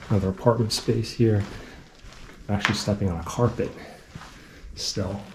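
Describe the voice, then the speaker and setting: Over noticeable background noise, a man with a fairly low pitch talks in a flat monotone, pausing long and often. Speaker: urban explorer and vlogger. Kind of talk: walkthrough vlog narration. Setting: indoors in an abandoned building. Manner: casual with many fillers.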